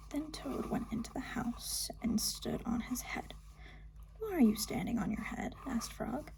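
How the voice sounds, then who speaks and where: The pace is fairly slow. Background noise is noticeable. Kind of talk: ASMR bedtime book reading. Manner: soft-spoken, not whispered.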